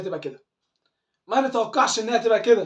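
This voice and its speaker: An animated, high-pitched male voice with an Egyptian accent. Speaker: football fan commentator. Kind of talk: fan video commentary. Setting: at home.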